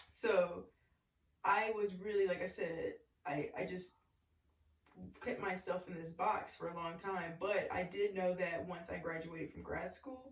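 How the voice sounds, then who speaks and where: In an Arkansas accent, a woman speaks at medium pitch and a fairly slow pace, with fairly even intonation, big swings in loudness and long, frequent pauses. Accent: Southern US, Arkansas. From US South, small-town Arkansas. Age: 30s. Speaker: podcast guest, former college basketball player. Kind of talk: casual chat.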